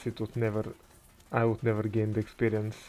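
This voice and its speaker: The voice belongs to a man and sits fairly low. It stays monotone and flat. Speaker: gaming commentator. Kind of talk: gameplay commentary. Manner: soft-spoken; halting.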